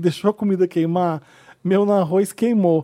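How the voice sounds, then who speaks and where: This man speaks at a fairly quick pace in a high pitch, his tone dark and mellow, with ordinary pitch variation. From Brazil, Volta Redonda (Rio de Janeiro state). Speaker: podcast host. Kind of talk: casual chat.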